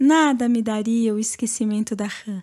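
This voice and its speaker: A woman speaks with ordinary pitch variation in a very clean recording against a silent background. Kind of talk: audiobook literary reading.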